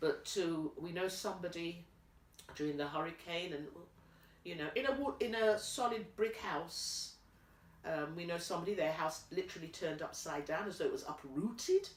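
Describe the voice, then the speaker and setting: A woman speaks at a moderate pace, her pitch fairly low with ordinary pitch variation. Noticeable background noise and audible room echo fill the recording. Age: 60s. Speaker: interviewee with family roots in Dominica. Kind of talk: interview.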